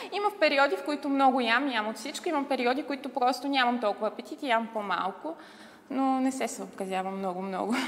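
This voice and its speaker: With noticeable background noise, a woman speaks at a high pitch in an animated tone. Her intonation is lively. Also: fairly quick pace. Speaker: model and TV commentator. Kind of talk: TV interview. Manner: animated storytelling.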